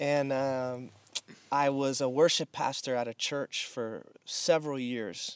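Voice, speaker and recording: A man's plain, everyday voice at medium pitch, fairly even in intonation, with a dry, close sound with no echo. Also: very clean recording, silent background. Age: 30s. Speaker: pastor. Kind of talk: casual chat. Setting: in person at a rented house in the desert.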